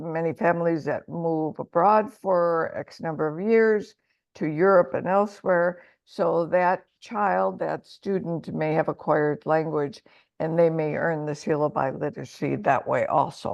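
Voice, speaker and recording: A fairly low-pitched woman with a Midwestern accent, at a fairly slow pace with ordinary pitch variation. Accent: American, Midwest. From Michigan, US, in a Mexican household. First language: Spanish. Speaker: language education administrator. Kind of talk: webinar presentation.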